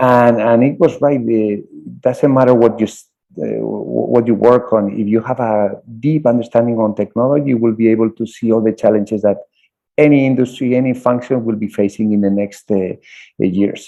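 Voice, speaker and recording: Music plays in the background as the speaker talks at a moderate pace with a Spanish accent and fairly even intonation. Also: man, medium pitch for a man. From Spain. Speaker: college tech center director. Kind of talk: interview. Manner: halting, repeats words.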